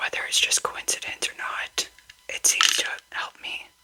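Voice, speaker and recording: Fairly slow whispering amid noticeable background noise. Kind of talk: casual talk to camera, nail care tips. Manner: whispered, slow.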